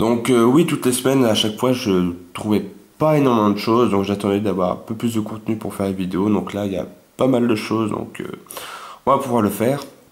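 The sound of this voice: A man's fairly low voice, slightly mellow in tone, at a fairly quick pace with ordinary pitch variation and audible room echo.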